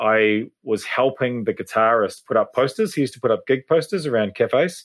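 A man with a New Zealand accent. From New Zealand, Hawke's Bay. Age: 30s. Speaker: drummer. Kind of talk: casual chat.

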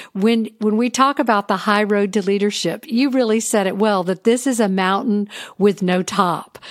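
A woman with an American accent has an unremarkable speaking voice. Her pitch is medium, with ordinary variation. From US South. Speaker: podcast host. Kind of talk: interview. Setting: studio.

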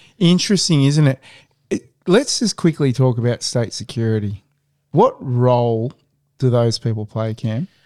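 At a moderate pace, a man with an Australian accent speaks at a medium pitch. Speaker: podcast host. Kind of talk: casual chat. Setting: home.

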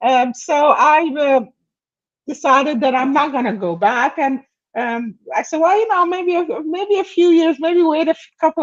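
Speaking at a moderate pace in a Persian accent, a woman with a high pitch moves through very wide pitch swings. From Iran. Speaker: author. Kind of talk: casual interview.

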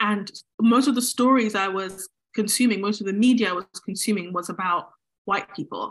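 A woman with a British accent, medium in pitch, fairly even in intonation, at a moderate pace. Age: 20s. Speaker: cartoonist and author. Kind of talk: casual interview.

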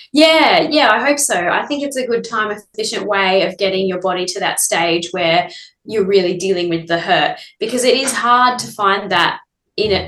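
A woman with an Australian accent, lively intonation, and a moderate pace. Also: medium pitch for a woman. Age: 30s. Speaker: ultramarathon runner. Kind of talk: casual interview.

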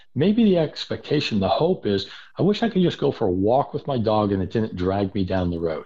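With an American accent, a man speaks in an unremarkable speaking voice at a medium pitch and a fairly quick pace. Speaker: spaniel trainer. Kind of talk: casual interview chat.

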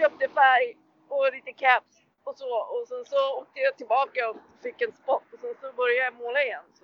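At a moderate pace, a woman with a high pitch keeps her intonation fairly even while her loudness swings widely. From Sweden, Tyresö near Stockholm. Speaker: graffiti artist. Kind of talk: casual interview. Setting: remote call over hotspot. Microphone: poor sound.

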